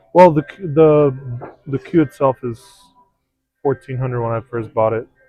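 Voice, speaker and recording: With music in the background, a man with a non-native accent speaks fairly slowly, leaving long, frequent pauses, his intonation fairly even. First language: not English. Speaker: pool stream commentator. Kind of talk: casual chat. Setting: pool hall.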